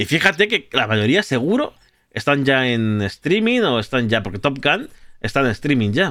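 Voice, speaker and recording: Speaking fairly slowly in a Spanish accent, a man with a medium pitch and a bright, sharp tone swings very widely in pitch. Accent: Spanish (Spain). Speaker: podcast host and streamer. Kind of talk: casual chat.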